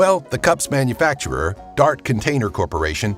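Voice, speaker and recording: A man speaks at a medium pitch with very wide pitch swings while music plays in the background. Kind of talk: top ten list narration.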